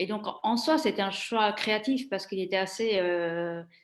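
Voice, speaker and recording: In a very clean recording with a silent background, a woman talks at a fairly slow pace and medium pitch with ordinary pitch variation. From Italy. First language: Italian (speaking French). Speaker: former trade journalist, career changer. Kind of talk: interview. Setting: live stream. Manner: halting, many hesitations.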